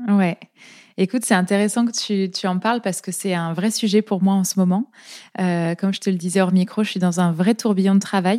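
Moderate pace, fairly even intonation and a dark, mellow tone, in a very clean recording with a silent background and a dry, close sound with no echo. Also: woman. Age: 30s. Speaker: naturopath and podcaster. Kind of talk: casual interview.

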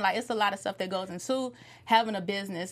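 With an unremarkable speaking voice, a woman talks at a medium pitch and with fairly even intonation. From Chicago, US. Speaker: TV recap panelist. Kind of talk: casual panel discussion.

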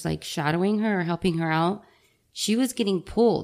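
A woman with an unremarkable speaking voice, fairly quick pace and ordinary pitch variation. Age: 30s. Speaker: nurse. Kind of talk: casual chat.

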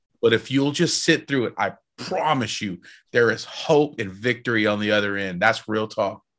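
A man with an American accent speaks at a moderate pace. His medium-pitched voice has an animated tone. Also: ordinary pitch variation. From Texas. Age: 40s. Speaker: rock singer. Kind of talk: interview testimony.

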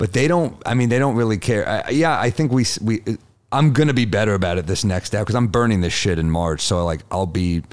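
A man with a New York accent talks fairly quickly at a fairly low pitch, with lively intonation. His loudness stays very even on a very clean recording with a silent background. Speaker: comedian. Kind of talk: casual chat.

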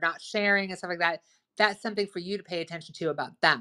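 Loud, bright, sharp female voice at a medium pitch, enthusiastic and animated in tone, with ordinary pitch variation on a very clean recording with a silent background. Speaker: relationship advice speaker. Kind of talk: casual educational talk. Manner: loud, boisterous, enthusiastic; animated, talks a lot.

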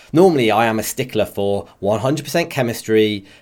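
With a West Country accent, a man speaks using lively intonation. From West Country, England. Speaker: video game streamer. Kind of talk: casual chat.

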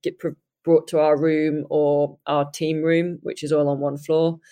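A woman with a British accent and a very deep, low pitch speaks over a quiet background. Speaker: triathlon guide and pro triathlete. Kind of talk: casual chat. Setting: remote call from Japan.

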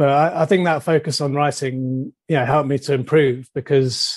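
With a southern English accent, a man speaks at a fairly high pitch in a monotone, flat intonation. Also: quiet background. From southern England, Surrey. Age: 40s. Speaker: marketing journalist and translation student. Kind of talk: casual interview chat. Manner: mumbles a bit.

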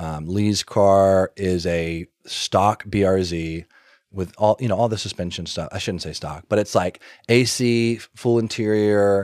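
A man with an American accent and a plain, everyday voice speaks at a fairly low pitch and fairly slow pace with fairly even intonation, the sound dry and close with no echo in a very clean recording with a silent background. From US South, Alabama (Birmingham). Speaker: car parts business owner. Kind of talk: casual chat.

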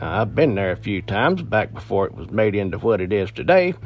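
This man's voice sits fairly low, with vocal fry. His pitch varies in an ordinary way. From Appalachia. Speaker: podcast host and storyteller. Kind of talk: ghost story telling, folksy spooky storytelling to listeners. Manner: conversational, relaxed, storyteller pacing.

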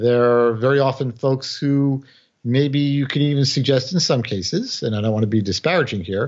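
Medium in pitch, a man talks with ordinary pitch variation. He has an ordinary speaking voice. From New York City, the Bronx. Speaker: former intelligence officer and author. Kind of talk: interview.

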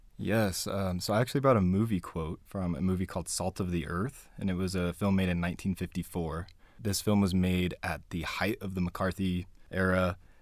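With a Utah accent, a man speaks at a moderate pace in a very deep, low voice with fairly even intonation, in a very clean recording with a silent background. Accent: Utah American. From Utah (Spanish Fork and Payson). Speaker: community activist and organizer. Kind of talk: interview.

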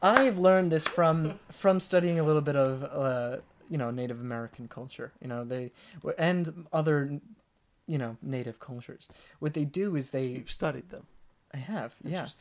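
In an ordinary speaking voice, a man talks at a moderate pace, fairly high in pitch with ordinary pitch variation and big swings in loudness. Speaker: massage therapist and storyteller. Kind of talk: casual chat.

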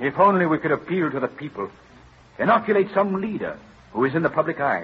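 Putting on a character voice, a man talks at a fairly quick pace in a fairly high pitch with a husky, rough edge and big pitch swings.

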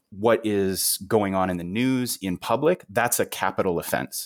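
Very clean with a silent background, the recording captures a man with a fairly low pitch in an ordinary speaking voice. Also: dry, close sound with no echo. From Canada. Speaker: historian. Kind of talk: interview.

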